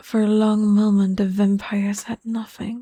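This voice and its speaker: The speech moves at a very slow pace on a very clean recording with a silent background. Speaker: vtuber. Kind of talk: soft narration of a fantasy story.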